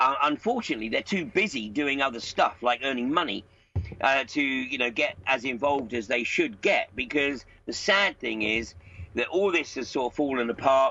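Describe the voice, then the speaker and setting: With lively intonation and a fairly high pitch, a man with an unremarkable speaking voice talks at a moderate pace. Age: 60s. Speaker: political commentator. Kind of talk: interview. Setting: Skype call.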